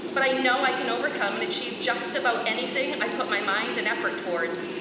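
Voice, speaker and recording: Loud and high-pitched, a woman talks at a fairly quick pace with lively intonation. Room echo is audible, along with noticeable background noise. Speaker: commencement speaker, special education teacher. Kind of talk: commencement speech. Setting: stage with audience.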